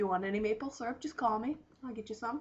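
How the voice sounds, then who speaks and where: Somewhat breathy and fairly high-pitched, a woman speaks with an American accent and ordinary pitch variation. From Western New York. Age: 20s. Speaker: recent graduate, youth worker. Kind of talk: casual video self-introduction. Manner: casual, joking.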